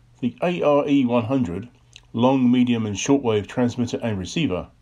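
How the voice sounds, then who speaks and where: A man's medium-pitched voice, dark and mellow in tone, at a fairly slow pace. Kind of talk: reading aloud a 1930s magazine advertisement. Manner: formal, even, deliberate read-out of text; measured, informative, matter-of-fact.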